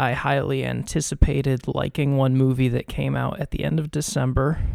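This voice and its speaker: A man whispers at a moderate pace. The sound is dry and close, with no echo. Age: 20s. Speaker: podcast co-host. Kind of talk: casual chat. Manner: whispering; hesitant, many fillers.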